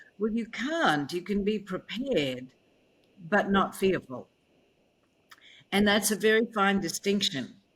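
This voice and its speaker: Somewhat breathy, a woman speaks at a medium pitch and a fairly slow pace. Her pitch swings very widely. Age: 70s. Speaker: keynote speaker and author. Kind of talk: interview conversation.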